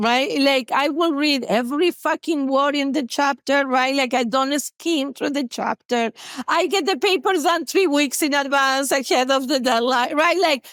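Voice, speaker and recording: In an Argentine accent, a woman speaks at a high pitch and moderate pace with ordinary pitch variation. Her loudness is very even, and the sound is dry and close with no echo. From Argentina, Buenos Aires. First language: Spanish. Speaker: therapist. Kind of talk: podcast interview. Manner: animated; talkative.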